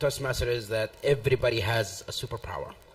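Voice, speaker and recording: A man speaks over noticeable background noise. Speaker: world champion public speaker. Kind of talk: panel discussion.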